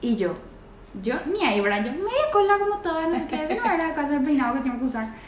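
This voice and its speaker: Here a woman speaks at a moderate pace with very wide pitch swings. Noticeable background noise and audible room echo fill the recording. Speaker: singer. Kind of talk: casual chat.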